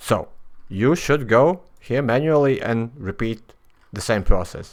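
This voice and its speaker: On a very clean recording with a silent background, a man with a Latvian accent speaks at a very slow pace with lively intonation. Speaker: software developer. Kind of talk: tutorial. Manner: halting, many fillers.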